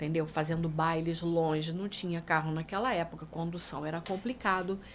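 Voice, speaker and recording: An ordinary speaking voice at a moderate pace, with fairly even intonation. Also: woman, fairly low pitch for a woman. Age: 60s. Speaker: singer and songwriter. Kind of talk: casual chat.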